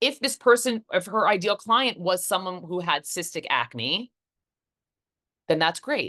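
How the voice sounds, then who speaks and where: Over a quiet background, a woman with a bright, sharp tone speaks at medium pitch and a fairly slow pace, swinging very widely in pitch and leaving long, frequent pauses. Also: dry, close sound with no echo. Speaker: business coach. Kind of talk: webinar teaching. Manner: deliberately slow.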